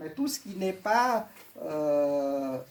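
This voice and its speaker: A woman's voice with very wide pitch swings. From Vietnam. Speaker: witness speaking to school pupils. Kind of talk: testimony answering pupils' questions. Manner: hesitant, many fillers.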